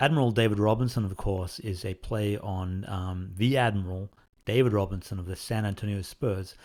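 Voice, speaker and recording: Speaking with an Australian accent, a man with fairly low pitch and a somewhat breathy voice keeps his intonation fairly even on a very clean recording against a silent background. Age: 40s. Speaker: indie game developer. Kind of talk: Q&A answering fan questions. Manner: casual, hesitant with fillers.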